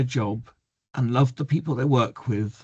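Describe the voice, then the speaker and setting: A somewhat breathy man with an English accent and ordinary pitch variation, over a quiet background. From England. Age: 60s. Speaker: mental health activist and memoir author. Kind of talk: reading a prepared talk. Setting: video call webinar.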